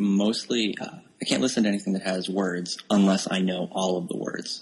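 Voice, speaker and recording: A man speaks with an American accent at a fairly low pitch. Noticeable background noise runs underneath. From rural Pennsylvania, US. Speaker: author and software developer. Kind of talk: casual interview chat.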